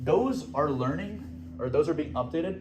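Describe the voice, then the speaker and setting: With music in the background and audible room echo, a man speaks with very wide pitch swings. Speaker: student fellowship presenter. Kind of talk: lecture. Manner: fast.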